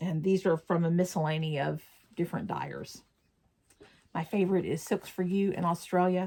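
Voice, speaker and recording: A woman's fairly low, somewhat breathy voice with fairly even intonation. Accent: Southern US. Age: 60s. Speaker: crafting vlogger. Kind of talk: casual chat. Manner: casual, chatty.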